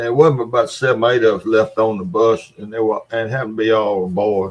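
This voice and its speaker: A man with a Mississippi accent talks at a moderate pace. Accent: Southern US (Mississippi). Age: 70s. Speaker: live stream host. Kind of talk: casual chat. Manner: halting.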